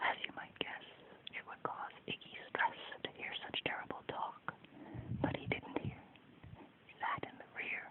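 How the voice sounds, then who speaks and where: The speaker whispers at a fairly slow pace, with long, frequent pauses. Noticeable background noise runs underneath. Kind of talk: whispered ASMR children's story reading. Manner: whispered, soft.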